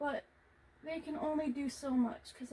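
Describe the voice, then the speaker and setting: Her pitch is high. The woman's intonation stays monotone and flat. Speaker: video creator painting on camera. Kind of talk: casual vlog talk while painting. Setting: hot room at home. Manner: projecting louder than usual.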